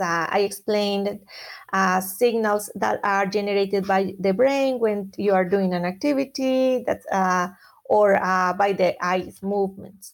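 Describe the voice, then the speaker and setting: A woman with a Spanish accent. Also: very clean recording, silent background. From Colombia. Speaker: occupational therapy professor. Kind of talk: interview.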